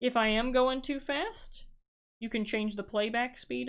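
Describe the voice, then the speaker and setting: A woman talks in a normal speaking voice at a moderate pace, with fairly even intonation over a quiet background. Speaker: math teacher. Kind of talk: lecture.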